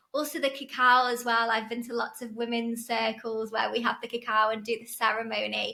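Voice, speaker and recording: A woman with an English accent, fairly quick and monotone, with hardly any pauses. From northern England, Chester. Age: 30s. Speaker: podcast guest in recovery. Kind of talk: casual interview chat.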